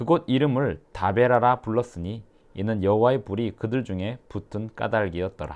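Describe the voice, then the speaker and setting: A man speaks at a moderate pace in an ordinary speaking voice, with medium pitch and ordinary pitch variation. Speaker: pastor. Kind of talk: Bible reading aloud.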